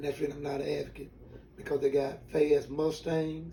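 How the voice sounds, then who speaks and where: This man, with a Southern US accent, has a fairly high pitch and a monotone, flat intonation. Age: 60s. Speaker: retired drag racer. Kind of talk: interview, personal story. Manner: halting.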